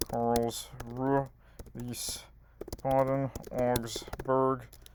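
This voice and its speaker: The speech is very slow, in a monotone, flat intonation. Noticeable background noise runs underneath. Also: man. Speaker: quiz gaming youtuber. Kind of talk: live quiz playthrough commentary.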